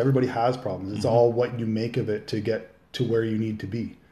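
A man talks at a fairly quick pace, with the room's echo clearly audible. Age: 40s. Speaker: plumbing business owner, amateur bodybuilder. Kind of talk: casual interview. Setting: home kitchen. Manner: halting, many fillers.

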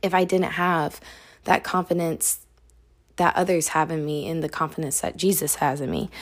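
A woman's ordinary speaking voice, fairly low in pitch, at a moderate pace with fairly even intonation, on a very clean recording with a silent background. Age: 20s. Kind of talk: devotional talk. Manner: casual.

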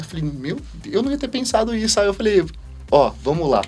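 Noticeable background noise accompanies a man talking very fast. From Brazil, interior of São Paulo state. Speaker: chef, cooking show contestant. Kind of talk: casual chat.

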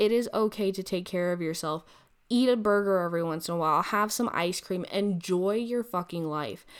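Speaking at a moderate pace in a very clean recording with a silent background, a woman has a plain, everyday voice with a medium pitch and ordinary pitch variation. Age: 20s. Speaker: podcast host. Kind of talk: casual monologue. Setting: recording alone at a computer. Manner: casual with frequent fillers.

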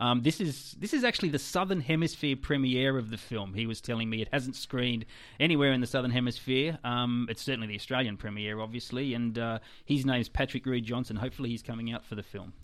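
Very fast speech with ordinary pitch variation on a very clean recording, silent background. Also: man, medium pitch for a man. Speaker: film critic and festival organiser. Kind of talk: casual chat.

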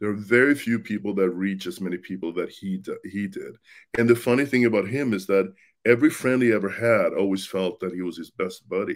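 Speaking at a fairly quick pace, a man talks with a Swedish accent. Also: fairly low pitch for a man, ordinary pitch variation, very clean recording, silent background. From Sweden. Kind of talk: casual interview.

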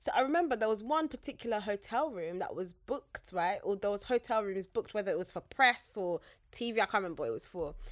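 A woman's fairly high voice with a London accent, very fast and with hardly any pauses, lively in intonation, on a very clean recording with a silent background. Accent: British English (London). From Zambia. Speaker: podcaster and social media strategist. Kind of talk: casual chat.

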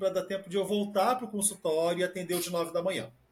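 A man speaks in a high pitch with a monotone, flat intonation. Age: 30s. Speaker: podcast co-host, psychotherapist. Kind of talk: casual chat.

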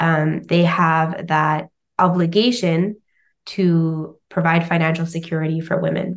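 A woman speaks with a Canadian accent. Her pitch is fairly low and her intonation is monotone and flat. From Canada. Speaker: finance educator. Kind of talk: interview.

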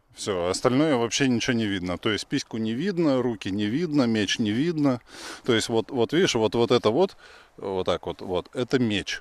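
This man has an unremarkable speaking voice at a moderate pace. The sound is dry and close, with no echo. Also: medium pitch for a man, lively intonation. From Russia. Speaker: podcast host. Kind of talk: casual chat. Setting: outdoors.

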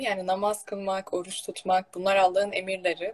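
Noticeable background noise runs under the recording. A woman at medium pitch talks at a very fast pace. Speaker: religious talk show host. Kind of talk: casual religious conversation. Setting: online live stream. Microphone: echo.

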